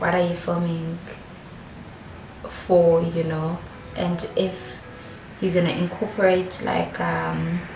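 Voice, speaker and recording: A woman's fairly low voice, very slow and monotone, with long, frequent pauses and noticeable background noise. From South Africa, Durban; South Africa. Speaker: vlogger; beauty vlogger. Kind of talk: casual chat. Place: home room. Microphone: phone near.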